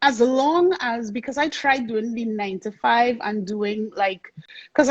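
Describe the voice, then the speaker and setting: With a Trinidadian accent, a woman speaks at a fairly slow pace in a high pitch with ordinary pitch variation. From Trinidad and Tobago. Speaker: soca singer and songwriter. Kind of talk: interview. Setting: live-streamed video interview.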